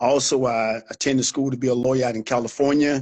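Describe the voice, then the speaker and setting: An unremarkable speaking voice with an American accent, fairly even intonation and a fairly quick pace. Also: man. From Florida, US South. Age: 60s. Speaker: military veteran. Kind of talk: interview. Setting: live stream.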